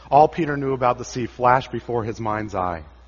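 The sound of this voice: An unforced reading voice with the usual amount of pitch change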